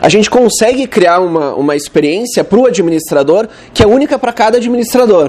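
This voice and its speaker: A man's high-pitched, fairly quick speech in a southern Brazilian accent, with noticeable background noise. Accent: southern Brazilian (gaúcho). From Rio Grande do Sul, Porto Alegre. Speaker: web developer, conference speaker. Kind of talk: conference talk. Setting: stage with audience. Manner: casual, conversational.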